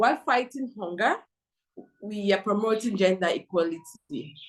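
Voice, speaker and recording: Pitch varies in an ordinary way as this woman talks. Her pace is moderate. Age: 20s. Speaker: gender activist. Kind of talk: interview. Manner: halting.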